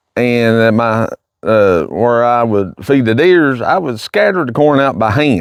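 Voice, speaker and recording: In a Kentucky accent, a man speaks at a fairly slow pace and a medium pitch. His intonation is lively, and the recording is very clean with a silent background. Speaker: hunting vlogger. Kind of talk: casual vlog. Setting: outdoors in the woods. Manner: halting, hesitant.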